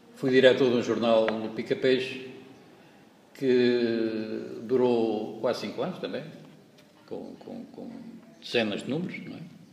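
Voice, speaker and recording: A man speaks at a fairly slow pace. There is audible room echo around his voice. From Portugal, Pernes (Santarém, Ribatejo). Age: 60s. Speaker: hospitality equipment technician, local activist. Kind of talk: interview testimony. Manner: halting, many repetitions and fillers.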